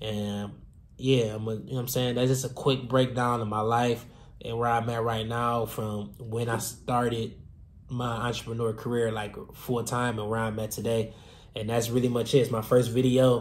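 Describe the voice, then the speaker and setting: Someone talks at a moderate pace in a monotone, flat intonation, with audible room echo. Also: man, medium pitch for a man. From Detroit, Michigan. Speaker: fashion designer and entrepreneur. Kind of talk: casual vlog storytelling. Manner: casual, many filler words.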